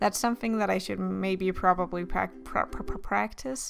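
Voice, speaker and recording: At a moderate pace, a woman talks over music in the background. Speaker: art youtuber. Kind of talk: casual voice-over commentary while drawing. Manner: mumbling, tripping over words; hesitant, filler-heavy.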